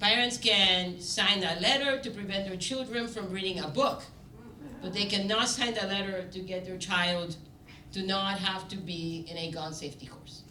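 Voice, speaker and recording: A woman's medium-pitched voice at a moderate pace, with ordinary pitch variation, big swings in loudness, audible room echo and noticeable background noise. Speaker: panel moderator. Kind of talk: panel discussion opening remarks.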